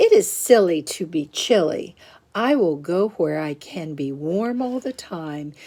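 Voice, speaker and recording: Using a put-on character voice, a woman speaks fairly slowly at a fairly low pitch. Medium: read story.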